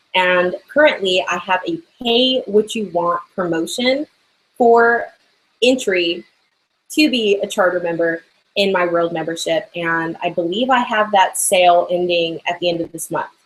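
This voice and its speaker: The delivery runs at a fairly slow pace. Pitch variation is ordinary. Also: woman, medium pitch for a woman. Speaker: online business coach and artist. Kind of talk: live hangout Q&A. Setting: live video broadcast from art studio. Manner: animated.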